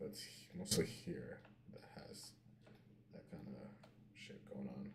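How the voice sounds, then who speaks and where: Whispering at a fairly slow pace, a man swings widely in loudness amid audible room echo. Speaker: live streamer, 3D artist. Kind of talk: casual work-along live stream. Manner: halting, thinking aloud.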